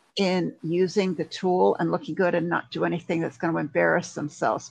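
A woman talks fairly quickly at a fairly low pitch, with vocal fry. The background is quiet, and the sound is dry and close with no echo. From Canada. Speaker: LinkedIn consultant. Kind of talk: interview.

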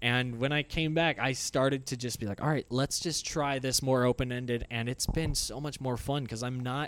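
In a plain, everyday voice, a man speaks at a moderate pace and medium pitch, with fairly even intonation and hardly any pauses. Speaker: comedian and gamer. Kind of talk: casual chat.

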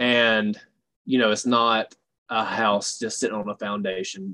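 The speaker has a bright, sharp tone and a Southern US accent. Delivery is at a moderate pace with monotone, flat intonation. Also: man. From US South, Alabama (Dothan). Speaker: fitness coach. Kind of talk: casual interview.

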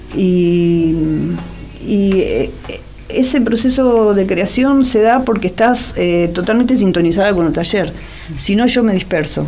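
Noticeable background noise and audible room echo around a woman speaking with ordinary pitch variation. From Buenos Aires area, Argentina (Wilde, Avellaneda). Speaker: author and social sciences teacher. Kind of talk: interview.

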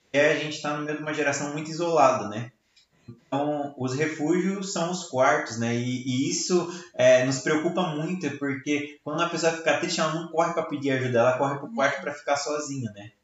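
In a room with audible echo, a man with a fairly high pitch talks at a fairly quick pace with fairly even intonation. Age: 20s. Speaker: podcast host, church ministry worker. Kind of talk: casual chat. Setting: at home.

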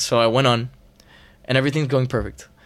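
Behind the voice there is only silence in this very clean recording. The words come very fast. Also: man. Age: 20s. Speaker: singer-songwriter. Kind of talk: casual chat.

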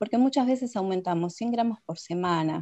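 The woman has an ordinary speaking voice of medium pitch with ordinary pitch variation. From Argentina. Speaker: nutritionist. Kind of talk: interview. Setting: video call.

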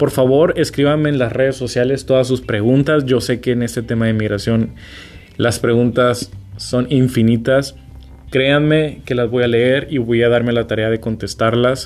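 With music in the background, a man of medium pitch speaks at a moderate pace using fairly even intonation. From Mexico, Sinaloa (Culiacán). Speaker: podcast host. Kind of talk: casual advice monologue.

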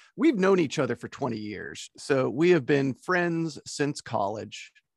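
A man talks at a moderate pace in a plain, everyday voice, with ordinary pitch variation. The sound is dry and close with no echo, over a quiet background. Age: 40s. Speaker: podcaster and blogger. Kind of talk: casual chat.

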